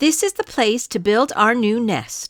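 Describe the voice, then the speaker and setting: A woman does a put-on character voice, fairly high in pitch, at a fairly slow pace. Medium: read story. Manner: firm, bossy.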